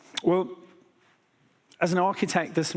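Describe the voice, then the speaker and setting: This is a man talking with a British accent. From Britain. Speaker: enterprise architect. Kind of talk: conference keynote.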